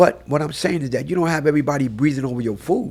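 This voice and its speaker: At a moderate pace, a man with fairly high pitch speaks with lively intonation and vocal fry. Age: 60s. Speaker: photographer. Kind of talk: casual chat. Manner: animated.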